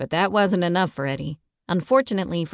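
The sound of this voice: Quiet background behind an unforced reading voice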